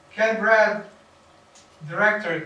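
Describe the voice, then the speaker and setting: A man talks fairly slowly amid audible room echo and noticeable background noise. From Bosnia, former Yugoslavia. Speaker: film director and workshop teacher. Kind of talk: interactive workshop talk. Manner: repetitive, halting.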